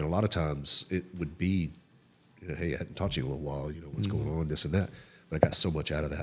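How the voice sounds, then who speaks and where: With vocal fry and an American accent, the speaker talks at a very fast pace. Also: man, very deep, low pitch for a man, ordinary pitch variation. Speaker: podcast host. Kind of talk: casual chat. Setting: recorded at a local cafe venue.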